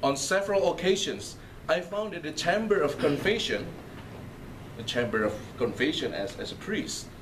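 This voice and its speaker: A man speaks at a moderate pace with very wide pitch swings. There is audible room echo and noticeable background noise. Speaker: priest. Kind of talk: lecture.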